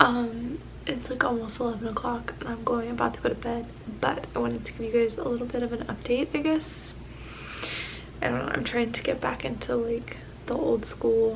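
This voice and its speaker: Soft-spoken and fairly quick, a woman talks over noticeable background noise with audible room echo. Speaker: booktube vlogger. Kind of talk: casual vlog. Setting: at home at night.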